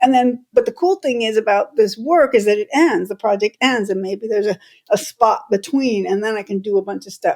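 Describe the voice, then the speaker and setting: With lively intonation, a woman speaks at a fairly high pitch and a moderate pace. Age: 60s. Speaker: punk bassist and solo musician. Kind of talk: interview. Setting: podcast interview. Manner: casual, halting with many restarts.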